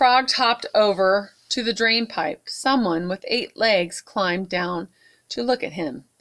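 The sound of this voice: The speaker reads in an unforced reading voice. The background is quiet.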